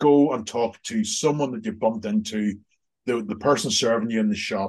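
A man's pitch varies in an ordinary way, with the background staying quiet. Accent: Northern Irish. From Northern Ireland. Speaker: executive coach and accountancy lecturer. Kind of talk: casual interview. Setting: video call.

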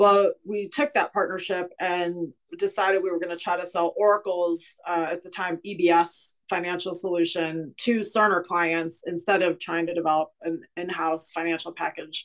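Moderate-paced speech with an American accent, fairly even intonation and hardly any pauses. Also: woman, fairly low pitch for a woman. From Cleveland, Ohio, US Midwest. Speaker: chief financial officer. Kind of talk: interview conversation.

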